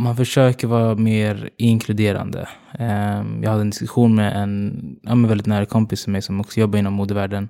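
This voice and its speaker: Over a very clean recording with a silent background, a man with a fairly low pitch and a dark, mellow tone speaks in a monotone, flat intonation. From Uganda. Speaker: fashion influencer and marketing consultant. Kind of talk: interview. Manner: hesitant with many fillers.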